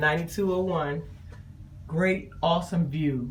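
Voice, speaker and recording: Fairly low-pitched female speech amid noticeable background noise. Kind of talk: casual cabin tour review to camera.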